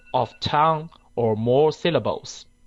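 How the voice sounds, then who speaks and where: A man with a Chinese accent, lively intonation and a very slow pace, music in the background. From China. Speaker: student teacher. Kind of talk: lesson presentation. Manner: halting.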